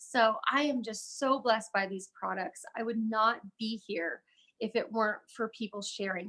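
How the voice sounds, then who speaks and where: Loud and bright with a sharp tone, a woman's fairly high voice carries ordinary pitch variation at a moderate pace. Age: 30s. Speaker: network marketing presenter. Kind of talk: sales pitch. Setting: live video stream. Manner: animated.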